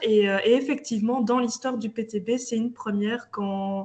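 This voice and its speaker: A woman with a fairly high pitch, ordinary pitch variation and a moderate pace, over noticeable background noise. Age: 30s. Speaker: local politician. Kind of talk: interview.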